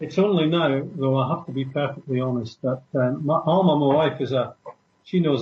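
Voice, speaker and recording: A man with a plain, everyday voice and a fairly high pitch speaks at a moderate pace with fairly even intonation. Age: 60s. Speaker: former security worker and traveler. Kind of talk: interview. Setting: radio show.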